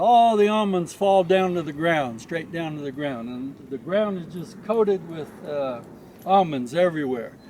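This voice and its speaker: Speaking with an American accent, a man uses a high pitch and lively intonation, with big swings in loudness. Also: moderate pace. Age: old. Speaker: almond farmer. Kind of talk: casual farm tour talk.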